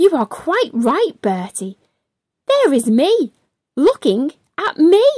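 A woman uses a put-on character voice, high-pitched with big swings and a slightly mellow tone. She speaks slowly, and the sound is dry and close with no echo.

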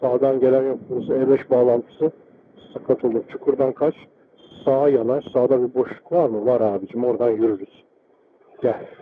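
Fairly even intonation over light background noise. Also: man, moderate pace. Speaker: motorcycle rider. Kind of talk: live riding commentary from inside helmet. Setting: helmet intercom recording while riding. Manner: casual. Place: motorbike. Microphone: helmet.

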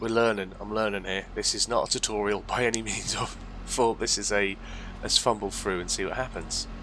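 Noticeable background noise runs behind a man speaking at a fairly quick pace. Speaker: gaming YouTuber. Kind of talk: casual gameplay commentary. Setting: home recording, voiceover while playing. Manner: relaxed, chatty, friendly.

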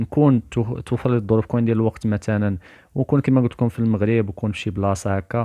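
With ordinary pitch variation, a normal speaking voice is heard. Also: man. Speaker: spiritual YouTuber. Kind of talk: religious talk to camera.

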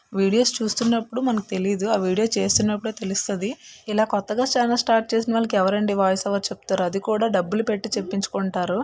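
A woman at medium pitch with monotone, flat intonation. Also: very even loudness. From Andhra Pradesh. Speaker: vlogger. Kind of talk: scripted narration. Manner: halting.

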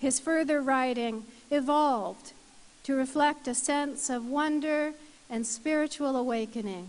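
This woman speaks at a fairly slow pace in a high voice, her pitch varying in an ordinary way. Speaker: ceremony presenter. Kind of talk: formal citation reading. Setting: university convocation ceremony. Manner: formal. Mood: formal, measured. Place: hall. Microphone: podium.

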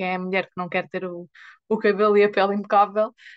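Moderate-paced speech from a woman, over a quiet background. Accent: European Portuguese. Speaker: product user giving testimonial. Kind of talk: testimony. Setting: video call, live. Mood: animated, earnest storytelling. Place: home room. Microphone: video call.

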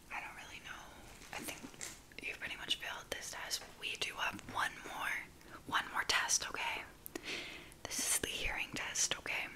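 A woman whispers at a moderate pace, breaking off often for long pauses. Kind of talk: roleplay talk to viewer. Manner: soft ASMR close-mic speaking. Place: home room. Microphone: studio mic.

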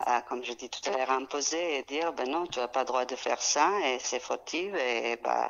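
A woman's very deep, low voice with ordinary pitch variation and hardly any pauses, over noticeable background noise. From Serbia (Belgrade). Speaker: caterer and restaurant entrepreneur. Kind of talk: casual interview. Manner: halting.

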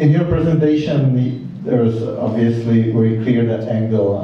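Strong room echo surrounds a man with a Czech accent who speaks at a medium pitch and a fairly slow pace, using ordinary pitch variation. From Czech Republic. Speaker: cultural centre director and moderator; moderator. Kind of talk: event moderation. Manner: halting. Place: hall.

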